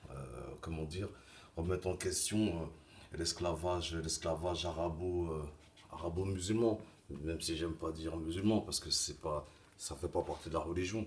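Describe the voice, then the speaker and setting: A man with a very deep, low voice speaks at a moderate pace, his intonation fairly even and broken by long, frequent pauses. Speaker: vlogger. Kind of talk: opinion monologue. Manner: soft-spoken; halting.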